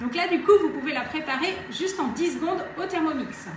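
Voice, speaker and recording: Audible room echo, plus noticeable background noise. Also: woman. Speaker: Thermomix demonstrator. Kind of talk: live cooking demonstration. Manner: fast.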